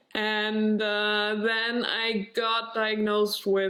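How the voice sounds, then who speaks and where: The woman's voice sits at a fairly high pitch. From Germany. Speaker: vlogger. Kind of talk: personal vlog. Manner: halting, searching for words.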